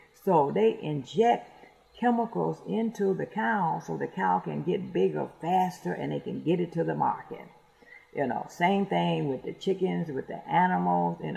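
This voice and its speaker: Someone speaks at a moderate pace in an American accent over noticeable background noise. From US, rural, Detroit. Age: 70s. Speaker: radio host. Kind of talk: casual monologue. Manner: halting, many fillers and repetitions.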